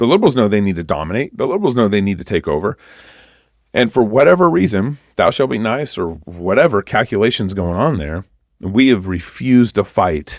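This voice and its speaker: A man with an American accent talks at a fairly quick pace in an animated tone, his pitch fairly low. The recording is very clean, with a silent background. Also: lively intonation. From Texas. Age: 40s. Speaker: activist pastor. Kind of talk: podcast interview.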